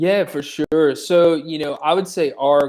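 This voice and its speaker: A man with a slight country accent and fairly even intonation. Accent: slight country twang. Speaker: tech startup co-founder, former court administrator. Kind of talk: interview. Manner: casual, many fillers and repetitions.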